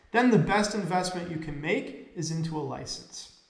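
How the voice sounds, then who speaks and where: Speaking with an American accent at a moderate pace, a man with a high pitch is heard through audible room echo and noticeable background noise. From United States. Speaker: business consultant, company CEO. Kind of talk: business explainer video.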